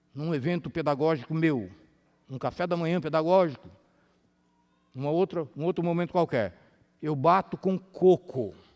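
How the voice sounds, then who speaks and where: Over a very clean recording with a silent background, a man speaks with ordinary pitch variation and long, frequent pauses. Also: fairly high pitch for a man, moderate pace. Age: 60s. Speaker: health lecturer. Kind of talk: sermon-style health lecture. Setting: church with audience. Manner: animated.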